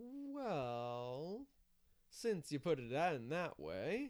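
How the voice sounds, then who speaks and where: A man puts on a drawling character voice with a fairly high pitch and very wide pitch swings. He speaks at a very slow pace. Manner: drawling, with a grin.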